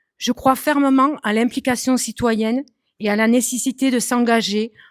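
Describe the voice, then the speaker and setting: A woman's high-pitched voice at a fairly slow pace, dry and close with no echo, in a very clean recording with a silent background. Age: 40s. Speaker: municipal election candidate. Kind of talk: prepared self-introduction speech. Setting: public meeting hall with audience.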